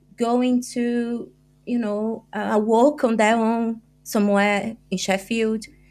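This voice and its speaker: Speaking very slowly in a Brazilian accent, a woman holds a fairly high pitch in a monotone, flat delivery. The recording is very clean, with a silent background. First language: Portuguese. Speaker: journalist and author. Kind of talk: podcast interview. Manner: halting.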